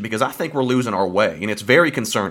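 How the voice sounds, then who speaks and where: A man talks with a Southern US accent. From Alabama, US South. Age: 20s. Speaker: podcast producer and engineer. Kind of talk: casual chat.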